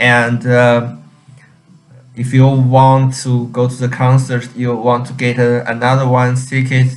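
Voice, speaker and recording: Music plays in the background as a man with a Chinese accent talks in a medium pitch with flat, monotone intonation. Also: fairly slow pace. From China. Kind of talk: casual talk to camera. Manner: hesitant, many fillers.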